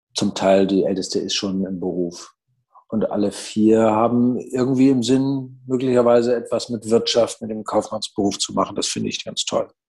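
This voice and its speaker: This man has a medium pitch and a fairly even intonation. He talks at a moderate pace. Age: 60s. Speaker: business owner and managing director. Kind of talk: interview. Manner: hesitant, many fillers.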